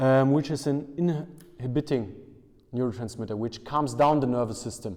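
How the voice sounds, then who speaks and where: In a German accent, a man speaks at a moderate pace with medium pitch, ordinary pitch variation and a dark, mellow tone. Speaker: strength and conditioning coach. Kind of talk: interview. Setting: basement weightlifting room. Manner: halting.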